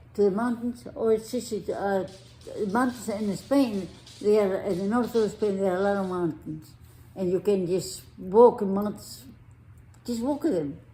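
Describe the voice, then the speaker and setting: Music plays in the background as a woman talks at a fairly slow pace, her medium pitch showing ordinary variation. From Spain. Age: 80s+. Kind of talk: interview answer.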